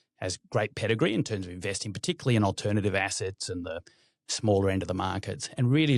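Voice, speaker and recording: In a very clean recording with a silent background, a man with an Australian accent talks very fast in a fairly low voice. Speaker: private equity investor. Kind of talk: interview.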